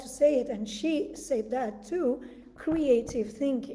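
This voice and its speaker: Speaking with an Italian accent, a woman talks at a fairly slow pace in a high voice with ordinary pitch variation. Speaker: breathwork coach. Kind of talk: guided meditation talk. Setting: live video stream.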